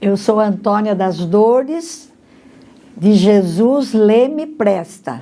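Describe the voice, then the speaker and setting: A woman at a fairly high pitch, very slow, with lively intonation and audible room echo. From Brazil, Monte Mor, São Paulo state. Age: 80s+. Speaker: interviewee, longtime parishioner. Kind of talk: documentary interview testimony.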